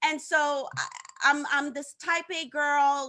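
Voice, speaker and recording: A woman with a Haitian accent speaks in a raised, projected voice with a bright, sharp tone. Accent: Haitian Caribbean English. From Haiti, partly raised in Africa. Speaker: social media coach. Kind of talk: interview on live show. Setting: live stream. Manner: animated, many repeated words.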